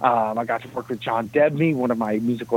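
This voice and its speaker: With an American accent and an ordinary speaking voice, a man talks at a fairly quick pace in a medium pitch with fairly even intonation. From New Jersey, Jersey City. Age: 30s. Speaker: film composer. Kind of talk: interview.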